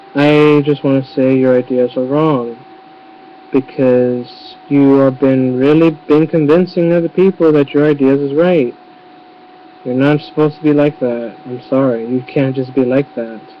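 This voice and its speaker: Against noticeable background noise, a man talks at a fairly slow pace with fairly high pitch and fairly even intonation. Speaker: YouTuber. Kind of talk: webcam rant. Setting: webcam recording.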